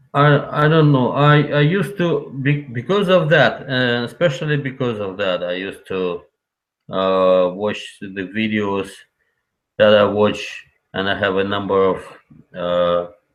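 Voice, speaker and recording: With a Russian accent, a man talks at a fairly slow pace in a medium pitch with very wide pitch swings. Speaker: call-in guest on livestream. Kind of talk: casual chat. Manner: halting.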